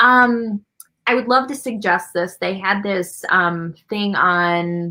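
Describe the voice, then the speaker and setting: A woman speaks loudly in a bright, sharp tone at a very slow pace. Her pitch is medium, with ordinary pitch variation. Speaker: artist. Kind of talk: interview.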